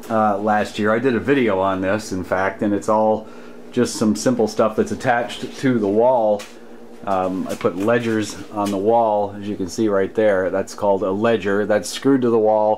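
Against light background noise, a man with a fairly low pitch speaks at a moderate pace in a monotone, flat intonation. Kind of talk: casual tutorial walkthrough. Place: workshop. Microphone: phone near.

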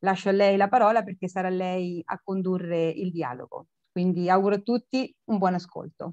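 The delivery has a moderate pace and ordinary pitch variation. The sound is dry with no echo over a quiet background. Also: woman. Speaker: cultural center organizer. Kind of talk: formal welcome speech. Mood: warm, smiling. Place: home room. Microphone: video call.

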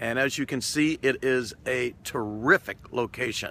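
A man with an American accent and a bright, sharp tone, dry with no echo, light background noise behind him. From US South. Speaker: food and travel vlogger; travel vlogger. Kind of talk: vlog restaurant review. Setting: on location at a restaurant. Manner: animated. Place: waterside. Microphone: phone near.

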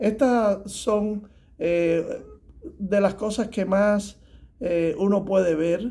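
A man's high-pitched voice, dark and mellow in tone, at a very slow pace. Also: fairly even intonation. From Cuba. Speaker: tax preparer; guest. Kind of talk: advice talk to camera. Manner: halting, many fillers. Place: office. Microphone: phone near.

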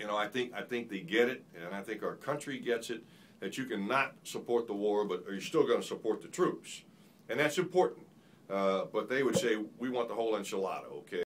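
Over light background noise, a man talks at a fairly quick pace with lively intonation. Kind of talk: answer to a question at a forum. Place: meeting room.

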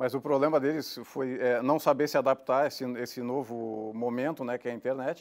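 This man talks at a moderate pace in a flat monotone, with hardly any pauses. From Rio Grande do Sul, Brazil (Gramado, Serra Gaúcha); Rio Grande do Sul, Brazil. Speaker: businessman, online media producer; guest. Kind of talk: casual interview. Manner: halting, repeats words. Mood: relaxed, conversational. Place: studio. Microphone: lapel.

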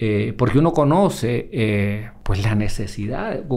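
A man's very slow speech with vocal fry and audible room echo. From Honduras, La Esperanza. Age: 50s. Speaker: emergency doctor. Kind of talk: casual interview chat. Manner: halting, many repetitions.

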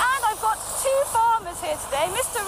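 A woman speaks with crowd noise in the background. The sound is dry, with no echo. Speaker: TV presenter. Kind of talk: live outdoor presenter commentary. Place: open country. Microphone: headset.

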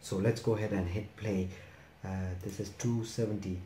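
Light background noise mixes with audible room echo in the clip. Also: man. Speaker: anime reaction youtuber. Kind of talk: casual vlog chat. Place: home room. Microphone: earbuds.

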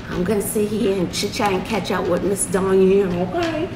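A woman at a moderate pace, with ordinary pitch variation and noticeable background noise. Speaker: vlogger. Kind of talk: casual vlog chat. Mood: warm, fond storytelling. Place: home room. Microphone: phone near.

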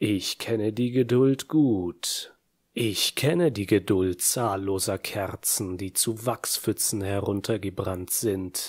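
A man's fairly low voice in a theatrical, solemn tone, very slow, with ordinary pitch variation, dry and close with no echo, on a very clean recording with a silent background. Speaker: audiobook narrator. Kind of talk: dramatic scripted narration of a villain's monologue. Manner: slow, brooding, menacing, measured with dramatic pauses; theatrical, solemn and intense.

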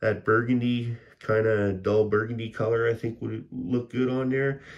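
A man with a Canadian accent talks at a moderate pace in a medium pitch, his intonation flat and monotone. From Canada. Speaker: scale model builder. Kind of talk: casual hobby talk to camera. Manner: rambling, hesitant.

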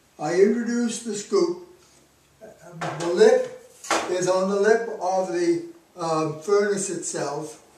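A man talks very slowly at a high pitch with ordinary pitch variation and long, frequent pauses. Noticeable background noise and audible room echo surround him. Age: 80s+. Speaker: physics professor. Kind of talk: product demonstration. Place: home room. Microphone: camera far.

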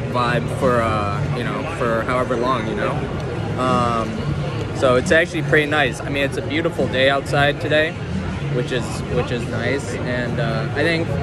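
Over clear background music, a man talks at a moderate pace in a dry recording with no echo. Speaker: vlogger. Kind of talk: casual vlog chat. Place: market.

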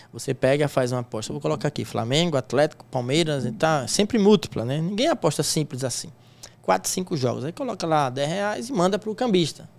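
A man talks at a fairly quick pace. His fairly high voice makes very wide pitch swings. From Sergipe, Brazilian Northeast. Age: 40s. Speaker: sports bettor and teacher; teacher. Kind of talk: interview. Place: studio. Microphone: studio mic.

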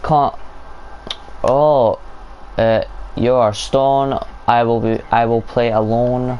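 At a very slow pace, a man talks with very even loudness. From Scotland. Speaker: gaming streamer. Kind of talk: casual gaming chat. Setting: online voice chat.

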